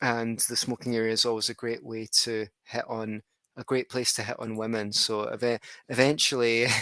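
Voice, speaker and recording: A man with a Scottish accent speaks at a moderate pace, with a medium pitch and a bright, sharp tone in a flat monotone. The recording is very clean and silent in the background, with a dry, close sound and no echo. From Scotland. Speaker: podcast host. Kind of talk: interview podcast. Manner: halting.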